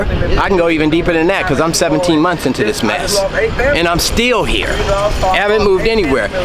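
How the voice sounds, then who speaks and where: An animated man with a high voice talks at a fairly quick pace with ordinary pitch variation. Music plays in the background, and there is audible room echo. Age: 60s. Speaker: homeless man, former project manager. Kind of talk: street interview.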